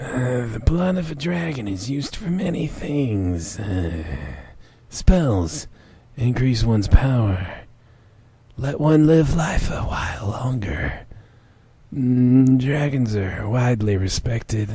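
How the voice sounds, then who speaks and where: A man puts on a character voice that is husky and breathy, pitched in the middle range. He talks at a fairly slow pace. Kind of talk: comic fanfiction dramatic reading. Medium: read story. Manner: slow, solemn.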